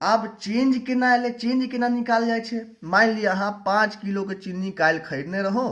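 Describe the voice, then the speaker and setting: A man with a Maithili accent, high-pitched, his pitch varying in an ordinary way, with audible echo in the room. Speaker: physics teacher. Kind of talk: lecture. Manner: informal explanatory.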